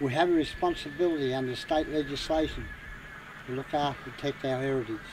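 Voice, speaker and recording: A man with a fairly high pitch talks fairly quickly and with fairly even intonation, noticeable noise sounding behind him. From Australia, Gippsland, Victoria. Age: 70s. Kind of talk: welcome to country speech.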